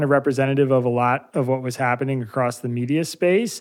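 A man talks in a Pennsylvania accent. The recording is very clean, with a silent background. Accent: American (Pennsylvania). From US Northeast, Bucks County, Pennsylvania. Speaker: journalist, newsletter founder. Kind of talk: interview.

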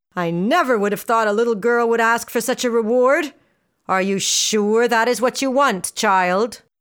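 The pitch moves in an ordinary way in a natural reading voice. Nothing can be heard behind it.

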